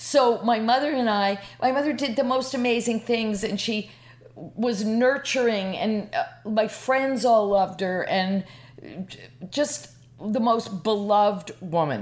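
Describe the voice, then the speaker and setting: A woman's fairly high-pitched, a normal speaking voice, with ordinary pitch variation and a fairly slow pace. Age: 60s. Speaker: comedian and storyteller. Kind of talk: storytelling. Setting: on a couch in host's apartment.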